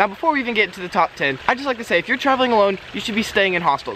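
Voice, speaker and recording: A man speaks in a raised, projected voice at a very fast pace. The sound is dry with no echo, with light noise behind it. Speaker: travel vlogger. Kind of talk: casual vlog tips. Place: garden. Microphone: camera far.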